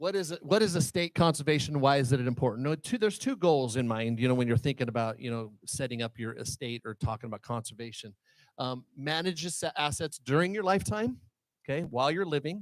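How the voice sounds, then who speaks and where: Over a very clean, silent background, a man talks very fast at a fairly high pitch with lively intonation, the sound dry and close with no echo. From Wyoming. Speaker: financial advisor presenting a workshop. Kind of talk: seminar presentation.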